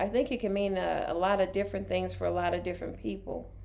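A woman's voice carries audible room echo. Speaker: podcast co-host. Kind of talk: casual chat.

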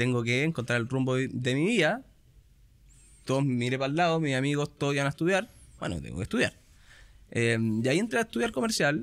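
Delivered at a very fast pace with lively intonation, the speech is broken by long, frequent pauses. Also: man, medium pitch for a man, very clean recording, silent background. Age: 30s. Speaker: fund company sales manager. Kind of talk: casual interview.

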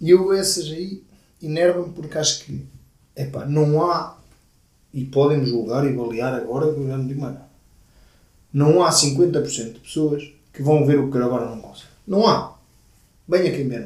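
A man with a fairly high pitch and a somewhat breathy voice speaks at a moderate pace with ordinary pitch variation, big swings in loudness, and long, frequent pauses, in a room with audible echo. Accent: European Portuguese. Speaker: podcast co-host. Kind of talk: casual chat.

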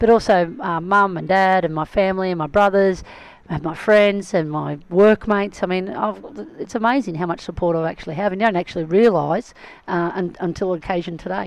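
With an Australian accent, a woman talks at a fairly quick pace and medium pitch. Her pitch variation is ordinary. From Melbourne, Australia. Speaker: footballer and club founder. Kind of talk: interview.

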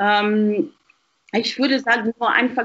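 Her pitch fairly high, a woman speaks at a very slow pace with ordinary pitch variation. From Zimbabwe. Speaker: university student. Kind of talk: casual chat. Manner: halting, repeats words.

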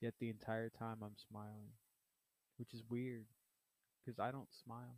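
In a dry, close recording with no echo, a man with an American accent talks at a moderate pace in a medium pitch, his intonation monotone and flat, with long, frequent pauses. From Southeast Texas. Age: 30s. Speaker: podcaster. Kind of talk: personal monologue. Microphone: cheap microphone.

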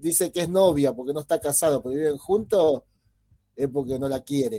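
Lively in intonation, a man speaks with a fairly high pitch and a dark, mellow tone, the sound dry and close with no echo. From Buenos Aires, Argentina (born in Mendoza). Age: 40s. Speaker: podcast co-host. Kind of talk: casual chat. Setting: live stream.

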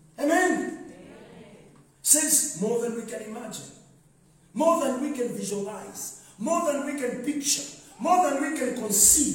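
Amid noticeable background noise, a man with an extremely high pitch speaks in an animated tone at a fairly slow pace, leaving long, frequent pauses. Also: ordinary pitch variation. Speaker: pastor. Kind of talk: sermon. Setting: church with congregation. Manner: animated, call-and-response preaching, rising and exhorting the congregation; commanding, directing the audience.

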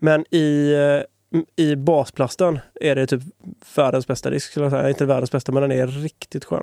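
Dark and mellow in tone, the voice moves at a fairly slow pace with fairly even intonation and long, frequent pauses, the sound dry and close with no echo. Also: man, fairly high pitch for a man. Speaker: disc golf podcast co-host. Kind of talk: casual chat.

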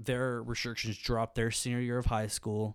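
Against a silent background in a very clean recording, a man with an American accent speaks at a medium pitch and moderate pace in a monotone, flat intonation. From Birmingham, Alabama. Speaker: university student. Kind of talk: interview.

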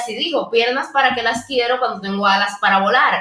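A woman with a high pitch and ordinary pitch variation talks as noticeable background noise carries on. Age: young. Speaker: podcast co-host. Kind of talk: casual chat.

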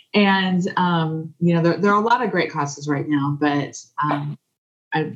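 A somewhat breathy woman with an American accent, fairly low pitch, ordinary pitch variation, and a moderate pace. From US Midwest, southeast Kansas. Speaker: podcast guest. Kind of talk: casual chat.

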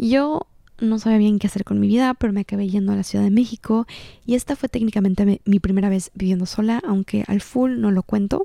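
On a very clean recording with a silent background and a dry, close sound with no echo, a woman speaks very fast at a medium pitch, with a dark, mellow tone and ordinary pitch variation. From Mexico, Cancún. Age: 20s. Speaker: podcast host and content creator. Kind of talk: casual monologue.

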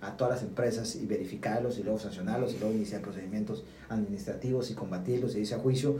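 A man talks at a very fast pace with audible room echo. Noticeable background noise sits behind him. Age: 30s. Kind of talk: casual chat.

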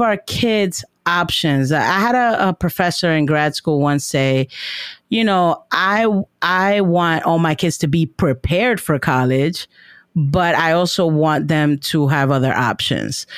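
On a very clean recording with a silent background, a woman speaks with an American accent at a fairly low pitch. Her pace is fairly slow and her loudness very even. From New York City, Washington Heights. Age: 30s. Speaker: teacher. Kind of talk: casual chat.

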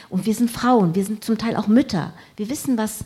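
A woman speaks at a fairly quick pace, her fairly high voice somewhat breathy. Her tone is dark and mellow. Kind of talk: panel debate. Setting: stage with audience.

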